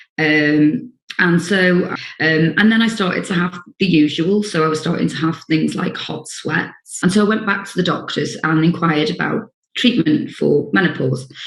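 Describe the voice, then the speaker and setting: Her pitch is fairly low for a woman, with ordinary variation. The woman speaks at a moderate pace. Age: 50s. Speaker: social worker sharing lived experience. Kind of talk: personal testimony. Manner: hesitant, many fillers.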